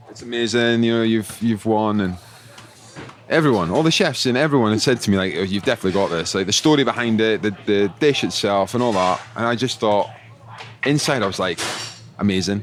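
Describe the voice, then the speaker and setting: A man with a Scottish accent talks at a fairly quick pace against noticeable background noise. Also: fairly low pitch for a man, ordinary pitch variation. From Scotland. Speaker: chef. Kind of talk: casual chat. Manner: animated.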